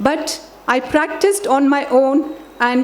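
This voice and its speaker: Over noticeable background noise, a woman with a Telugu accent speaks in a high voice with lively intonation. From grew up in many countries, Indian family. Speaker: education expert, chief guest. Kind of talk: formal speech. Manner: formal.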